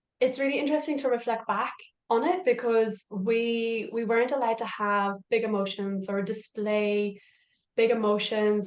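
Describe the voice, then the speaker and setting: This speaker talks at a moderate pace in an Irish accent. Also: woman. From Ireland. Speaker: parent coach. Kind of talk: podcast interview.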